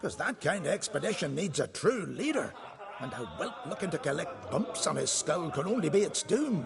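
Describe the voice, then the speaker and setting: In a gruff, put-on character voice, a man speaks at a high pitch and moderate pace with very wide pitch swings, against clear background noise. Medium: video game. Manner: gruff, grumbling, condescending.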